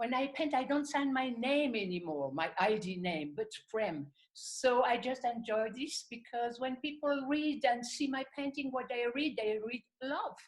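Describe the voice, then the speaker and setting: A woman speaks in a French accent at a fairly slow pace. Her pitch is high and her intonation lively. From French-speaking Switzerland. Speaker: artist and channeler. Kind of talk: interview.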